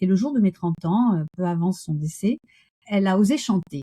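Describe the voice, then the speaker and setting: Speaking at a moderate pace in a medium pitch, a woman has a dark, mellow, somewhat breathy tone and lively intonation, recorded with a dry, close sound and no echo. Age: 60s. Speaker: coach and Gestalt therapist. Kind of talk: interview conversation. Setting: podcast interview.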